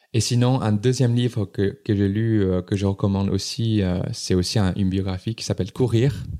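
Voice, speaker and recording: Hardly pausing, a man with a dark, mellow tone speaks at a moderate pace with fairly even intonation. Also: fairly low pitch for a man. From southern China, Guangdong. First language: Chinese (Cantonese region) (speaking French). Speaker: entrepreneur. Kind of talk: interview. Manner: halting, many repetitions.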